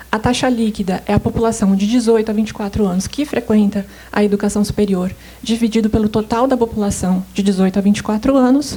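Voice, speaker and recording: A soft-spoken woman talks at a very fast pace with a fairly high pitch. Her intonation stays fairly even, and there is noticeable background noise. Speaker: government statistics coordinator. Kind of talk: conference presentation. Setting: seminar stage with audience. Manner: hesitant, many filler sounds.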